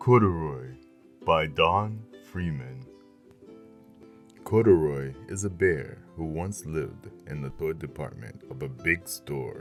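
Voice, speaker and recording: A man's very deep, low voice, very slow with long, frequent pauses, over background music. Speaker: voice actor. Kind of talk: children's book narration.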